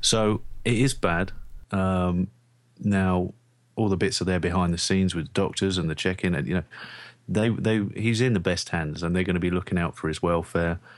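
A man with a London accent and a very deep, low voice talks at a moderate pace on a very clean recording with a silent background. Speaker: sports podcast co-host. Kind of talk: casual chat.

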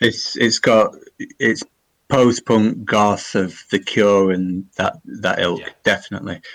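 The man's pitch is fairly low. He talks at a very slow pace. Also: ordinary pitch variation. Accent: English. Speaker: podcast co-host. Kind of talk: casual chat. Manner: halting.

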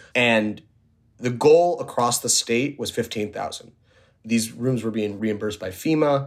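With an American accent, a man speaks in an unremarkable speaking voice at a fairly quick pace, with medium pitch and fairly even intonation, on a very clean recording with a silent background. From New York City. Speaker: journalist covering homelessness. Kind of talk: podcast interview.

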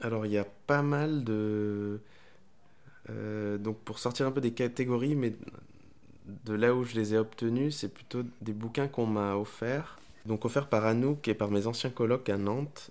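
Speaking with a Spanish accent, a man keeps to a fairly slow pace with long, frequent pauses, his medium pitch held in fairly even intonation. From Honduras. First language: Spanish (speaking French). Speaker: podcast guest, book lover. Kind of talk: casual chat. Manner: halting.

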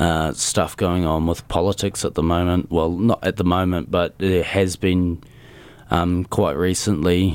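In a very clean recording with a silent background, a man with a New Zealand accent and a very deep, low pitch speaks at a moderate pace in a monotone, flat intonation. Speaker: drummer in a metal band. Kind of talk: casual interview. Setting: studio.

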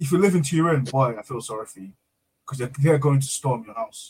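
This man speaks at a very fast pace. His fairly high voice is somewhat breathy. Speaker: co-host or chat participant. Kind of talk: casual banter. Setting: live stream.

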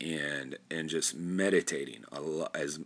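Speaking at a fairly slow pace, this man has a very deep, low voice with vocal fry and a bright, sharp tone. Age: 30s. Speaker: podcast host. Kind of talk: solo monologue. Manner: rambling with frequent fillers and repetitions.

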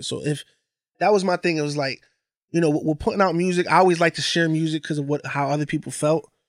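A man with an American accent has a normal speaking voice. His pitch is fairly high, and the sound is dry and close with no echo. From Bridgeport, Connecticut. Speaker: DJ. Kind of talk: casual chat. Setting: studio.

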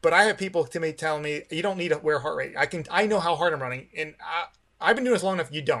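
Speaking at a very fast pace, a man uses a high pitch, a bright, sharp tone and ordinary pitch variation. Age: 40s. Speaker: masters distance runner and running watch company employee. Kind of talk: casual interview.

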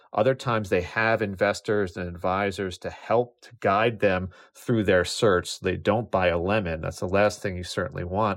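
In an ordinary speaking voice, a man with a fairly low pitch talks at a moderate pace with hardly any pauses, fairly even intonation and big swings in loudness, in a very clean recording with a silent background. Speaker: business journalist. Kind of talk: interview.

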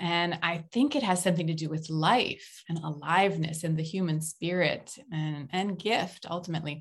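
A woman with an American accent speaks at a moderate pace with hardly any pauses. Her voice is fairly low-pitched and somewhat breathy, with ordinary pitch variation. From United States. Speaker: author and organizational consultant. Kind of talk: interview conversation.

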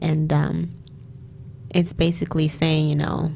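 Background noise can be noticed behind the speaker. She is a woman with an American accent. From US Mid-Atlantic, Prince George's County, Maryland. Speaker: singer-songwriter. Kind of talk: casual chat.

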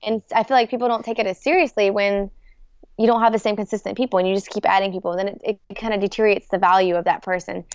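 At a very fast pace, a woman speaks at a medium pitch with fairly even intonation. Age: 20s. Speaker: competitive paintball player. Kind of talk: casual chat.

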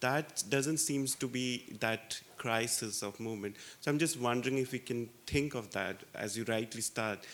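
In an ordinary speaking voice, a man of medium pitch talks at a moderate pace with ordinary pitch variation and hardly any pauses. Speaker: audience member. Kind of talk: Q&A question.

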